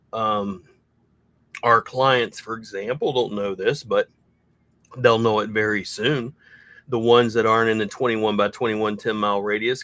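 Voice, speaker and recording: A man with a Southern US accent and a medium pitch. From US South. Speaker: SEO consultant for junk removal businesses. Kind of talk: casual livestream chat.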